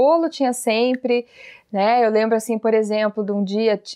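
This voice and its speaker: The speaker is a woman with a plain, everyday voice and a fairly high pitch. Her pitch varies in an ordinary way, and her pace is fairly slow. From Paraná, Brazil (Telêmaco Borba). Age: 30s. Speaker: parenting educator and channel host. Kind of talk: casual interview chat.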